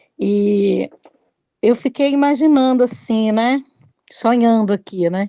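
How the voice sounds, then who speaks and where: A woman's fairly high, dark and mellow voice at a very slow pace, with long, frequent pauses and ordinary pitch variation. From Minas Gerais, Brazil. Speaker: podcast host, writer. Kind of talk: podcast interview.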